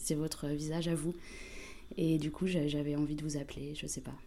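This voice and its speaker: A woman with a dark, mellow tone speaks at a moderate pace, with audible room echo. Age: young. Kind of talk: scripted narration.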